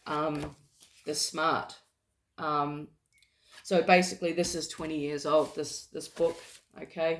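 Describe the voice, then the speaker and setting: A woman's very deep, low voice in a New Zealand accent, at a very slow pace with fairly even intonation and long, frequent pauses. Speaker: health vlogger. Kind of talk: casual talk to camera with reading aloud. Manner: halting, many fillers.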